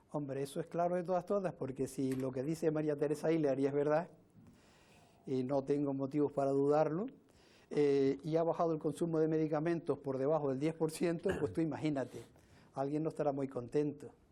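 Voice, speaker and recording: A man with a dark, mellow tone speaks at a fairly high pitch, his intonation fairly even. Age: 70s. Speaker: interviewee, sea-water drinker. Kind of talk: interview.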